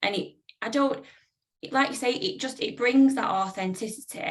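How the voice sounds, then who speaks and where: A northern English accent with ordinary pitch variation. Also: woman. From northern England. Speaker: publisher. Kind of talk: panel discussion.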